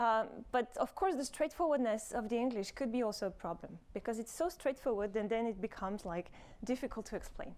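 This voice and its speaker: Talking at a fairly quick pace, a woman with a French accent uses lively intonation at a fairly high pitch. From France. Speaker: robotics professor. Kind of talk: conference talk. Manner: hesitant, many fillers.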